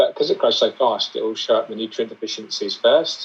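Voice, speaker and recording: A man with a British accent at a fairly quick pace. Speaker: aquascaper and aquarium YouTuber. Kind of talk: interview.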